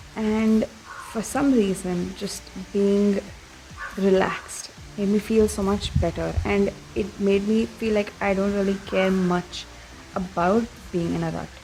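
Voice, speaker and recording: A soft-spoken woman talks slowly at a medium pitch in a flat monotone, with long, frequent pauses. Noticeable background noise is present. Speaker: vlogger. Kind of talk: casual vlog talk. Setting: outdoors at a farm.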